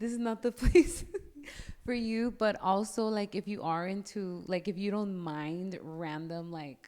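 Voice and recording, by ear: A woman's slightly mellow voice with fairly even intonation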